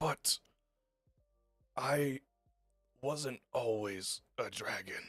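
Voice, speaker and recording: Using a raspy, put-on character voice at a low-to-middle pitch, the speaker goes at a very slow pace with long, frequent pauses. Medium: actual play. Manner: cryptic, fading.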